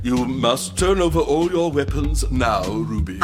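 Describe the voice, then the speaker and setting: Over loud background music, a put-on character voice speaks at a moderate pace. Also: man. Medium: audio drama. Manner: formal, calm, literal.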